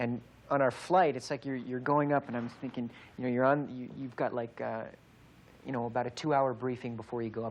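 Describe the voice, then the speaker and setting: Medium-pitched male voice with an American accent at a fairly quick pace. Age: 20s. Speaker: actor. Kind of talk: interview answer. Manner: fast, animated, excited.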